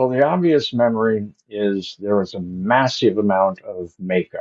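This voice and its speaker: Lively intonation marks this man's plain, everyday voice, which has a fairly low pitch and a moderate pace. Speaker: actor. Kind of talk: interview answer.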